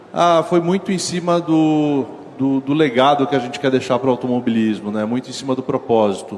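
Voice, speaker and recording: Medium pitch from a man at a fairly quick pace, with ordinary pitch variation and noticeable background noise. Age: 40s. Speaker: motorsport company executive. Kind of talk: stage talk. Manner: halting, many fillers.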